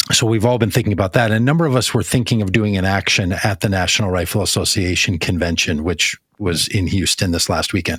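Speaking very fast with hardly any pauses, a man with an American accent holds a fairly low pitch, ordinary pitch variation and very even loudness. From US Midwest, Minnesota. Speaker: podcast host. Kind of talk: casual chat.

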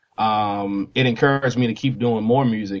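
In a plain, everyday voice, a man talks at a moderate pace. His medium pitch keeps fairly even intonation. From US, army brat; mostly Nashville, Tennessee. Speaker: musician, former air force serviceman. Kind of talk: casual interview chat.

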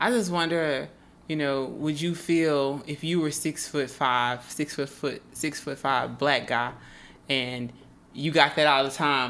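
At a fairly slow pace, a woman with an American accent speaks at a very deep, low pitch. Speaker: photographer and podcast host. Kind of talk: casual chat.

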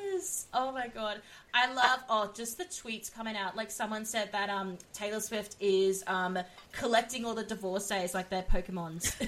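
A woman with a fairly high pitch talks at a moderate pace against noticeable background noise. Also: ordinary pitch variation. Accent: Australian. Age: 20s. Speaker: podcast host. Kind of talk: casual chat.

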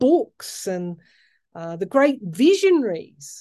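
A woman speaks at a very slow pace with very wide pitch swings. Her dark, mellow tone sits against a quiet background. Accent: Australian. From Australia, outback New South Wales. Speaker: tarot reader and astrologer podcaster. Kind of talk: solo podcast monologue with tarot reading. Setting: reading room, solo recording. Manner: hesitant, many fillers.

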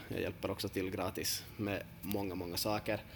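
At a moderate pace and with fairly even intonation, a man speaks in a plain, everyday voice. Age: 30s. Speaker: football coach and podcast host. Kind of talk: casual podcast talk.

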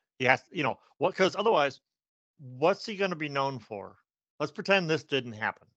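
A man with a normal speaking voice, fairly high in pitch, with lively intonation at a moderate pace. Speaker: podcast co-host. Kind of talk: casual chat about news, with jokes.

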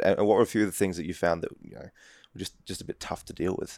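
A man with an Australian accent, fairly low in pitch, on a very clean recording with a silent background. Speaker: podcast host. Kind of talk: casual interview. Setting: hotel room in Hong Kong.

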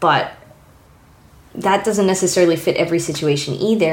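There is audible room echo around a woman's fairly low voice. She keeps a moderate pace and fairly even intonation. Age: 30s. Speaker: illustrator. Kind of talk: casual chat.

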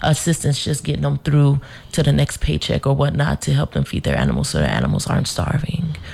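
Noticeable background noise accompanies this woman's voice. She talks with an American accent. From Denver, Colorado. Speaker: animal welfare center director. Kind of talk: casual radio interview. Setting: studio.

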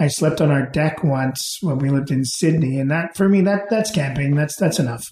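A man's somewhat breathy voice sits at a fairly high pitch with ordinary pitch variation. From England, then Sidney, British Columbia. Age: 40s. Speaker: restaurant owner. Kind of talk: casual interview, storytelling.

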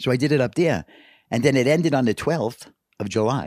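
The sound is dry and close, with no echo. A man with vocal fry talks at a fairly quick pace. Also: very clean recording, silent background. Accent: American. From New York City. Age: 70s. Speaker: carp angler guest. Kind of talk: casual interview chat.

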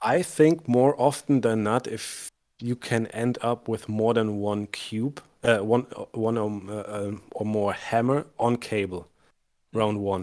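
A man with a German accent, medium in pitch, speaking at a very slow pace. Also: fairly even intonation. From Germany. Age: 30s. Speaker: tabletop wargamer. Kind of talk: casual chat.

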